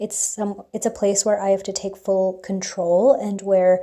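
A woman's dark, mellow tone at medium pitch, with little pitch movement and a fairly slow pace

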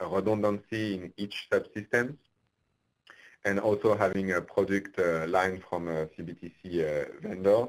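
A man with an ordinary speaking voice talks at a fairly slow pace in a fairly low pitch with ordinary pitch variation over a quiet background. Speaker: train control engineer; presenter. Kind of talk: technical presentation. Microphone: video call.

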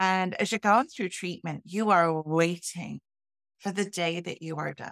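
In a dry recording with no echo and a quiet background, a woman with a British accent speaks at a fairly slow pace, her fairly low pitch varying in an ordinary way. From UK. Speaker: health and transformational coach. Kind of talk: interview, personal testimony. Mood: earnest, personal storytelling. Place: home room.

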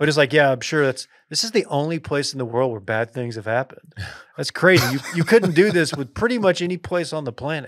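A man talks very fast with ordinary pitch variation over a quiet background. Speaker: podcast host. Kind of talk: casual sports podcast banter. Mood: amused, joking. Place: studio. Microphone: studio mic.

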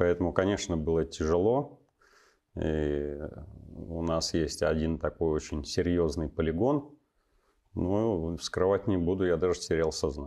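Over a quiet background, a man with a very deep, low pitch and a dark, mellow tone speaks fairly slowly, with ordinary pitch variation and long, frequent pauses. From western Russia, Smolensk region; Russia. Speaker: army officer and university lecturer; guest. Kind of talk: interview. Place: studio.

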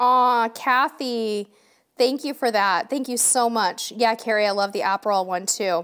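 A woman's fairly high, animated voice with ordinary pitch variation, at a fairly slow pace over a quiet background. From San Diego, California; California. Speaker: cruise vlogger. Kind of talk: live stream chat. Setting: home live stream. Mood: warm, cheerful. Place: studio.

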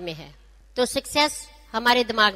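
A woman's high-pitched voice with a bright, sharp tone and ordinary pitch variation. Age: 60s. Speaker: doctor and direct-selling business leader. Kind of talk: motivational speech.

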